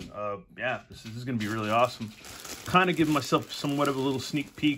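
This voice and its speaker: Very fast male speech amid noticeable background noise. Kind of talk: casual unboxing chat. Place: home room. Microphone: phone near.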